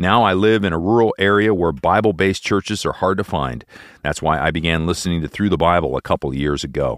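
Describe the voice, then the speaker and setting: The man's pitch is very deep and low, with vocal fry throughout. He speaks at a very fast pace with ordinary pitch variation. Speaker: radio host. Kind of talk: show introduction and reading listener emails.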